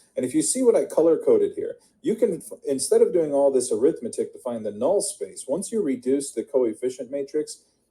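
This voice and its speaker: A man speaks at a fairly quick pace, with hardly any pauses. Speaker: math tutor. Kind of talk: tutorial.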